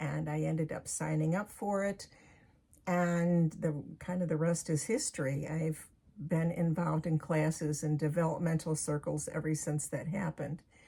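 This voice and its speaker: A woman speaks at a moderate pace in a very deep, low pitch, with a dark, mellow tone. Her voice is somewhat breathy and her intonation fairly even. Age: 70s. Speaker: author and medium. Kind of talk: casual talk to camera.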